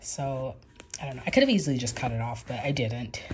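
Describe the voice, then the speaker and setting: The speaker has an American accent and a somewhat breathy sound. The pace is very fast. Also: woman. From New York and Georgia, USA. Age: 30s. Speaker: crisis counselor. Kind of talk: casual vlog talk to camera.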